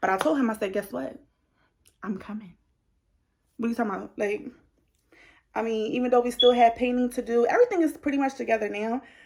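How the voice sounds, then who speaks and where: At a very fast pace broken by long, frequent pauses, a woman speaks in an animated tone with a fairly high pitch and ordinary pitch variation. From New Jersey. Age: 20s. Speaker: beauty vlogger. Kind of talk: casual chat.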